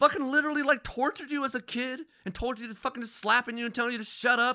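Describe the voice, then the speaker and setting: Raised and projected, a man's voice with an extremely high pitch and a bright, sharp tone races at a very fast pace in an American accent, with ordinary pitch variation on a very clean recording with a silent background. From Phoenix, Arizona. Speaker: podcast host. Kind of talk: casual chat.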